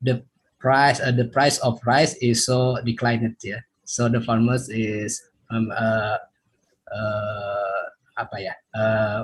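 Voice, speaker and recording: Slow-paced and somewhat breathy, a man speaks with monotone, flat intonation. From Indonesia, West Java. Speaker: webinar participant, student researcher. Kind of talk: audience question. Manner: halting.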